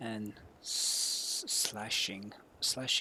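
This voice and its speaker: Non-native accent over noticeable background noise. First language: not English. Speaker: gaming streamer. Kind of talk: reading aloud. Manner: halting.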